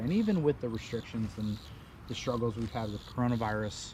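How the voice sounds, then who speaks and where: At a fairly quick pace, the speaker has a dark, mellow, somewhat breathy tone with ordinary pitch variation. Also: man. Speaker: wiffleball commentator. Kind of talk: live commentary.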